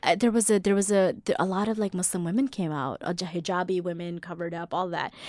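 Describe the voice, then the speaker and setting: A woman with a plain, everyday voice and an American accent speaks at a fairly quick pace and medium pitch on a very clean recording with a silent background. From US South, Mississippi. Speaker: actress and playwright. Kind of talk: casual interview.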